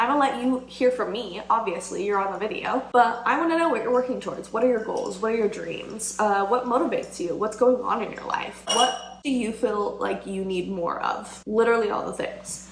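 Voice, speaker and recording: Over noticeable background noise and an audible room echo, the speaker talks at a fairly quick pace with hardly any pauses and ordinary pitch variation. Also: woman, fairly high pitch for a woman. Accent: American. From Idaho, US (Boise). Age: 20s. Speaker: lifestyle vlogger. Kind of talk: casual vlog talk to camera. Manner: fast.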